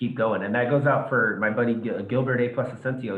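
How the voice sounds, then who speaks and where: Medium pitch from a man, in a room with audible echo. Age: 30s. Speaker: podcast host and sports broadcaster. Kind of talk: interview.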